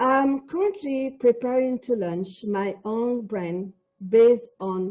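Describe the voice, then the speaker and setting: With a dark, mellow tone and lively intonation, a woman speaks at a very slow pace in a fairly high pitch. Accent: Quebec. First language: French. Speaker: cosmetics entrepreneur. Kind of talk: panel discussion.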